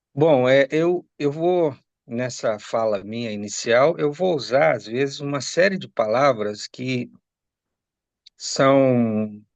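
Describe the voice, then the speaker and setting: This man speaks at a medium pitch with ordinary pitch variation. His pace is very slow. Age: 60s. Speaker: lawyer. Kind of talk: interview.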